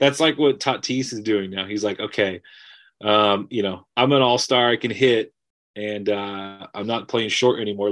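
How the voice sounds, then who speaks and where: Here is a man with a plain, everyday voice at a fairly low pitch. He talks at a moderate pace against a quiet background. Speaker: barber. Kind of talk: casual chat.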